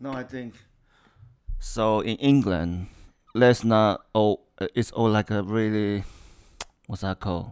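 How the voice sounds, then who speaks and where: A man with a non-native accent speaks at a very slow pace and a fairly low pitch, with fairly even intonation. Long, frequent pauses break up his speech on a very clean recording with a silent background. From Taiwan. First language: Mandarin Chinese. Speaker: engineer. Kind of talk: casual interview. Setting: recorded together in same room. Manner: halting.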